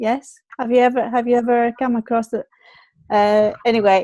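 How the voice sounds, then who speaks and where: Speaking with a Greek accent, a woman has a fairly high pitch and a dark, mellow tone, recorded with a dry, close sound with no echo. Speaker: online show host. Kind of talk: casual chat. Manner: halting, many fillers and repeats.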